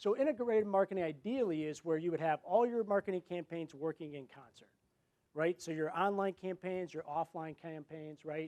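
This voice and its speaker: Fairly quick and dry, a man speaks with a close sound, no echo, and a high pitch. His tone is dark and mellow, with ordinary pitch variation and big swings in loudness. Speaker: marketing executive. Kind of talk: conference presentation. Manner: fast.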